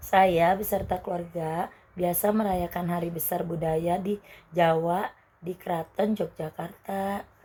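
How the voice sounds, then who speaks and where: Somewhat breathy and in a monotone, flat intonation, a woman speaks at a fairly slow pace. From Banyuwangi, East Java. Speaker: university student interviewee. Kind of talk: scripted school interview. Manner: formal.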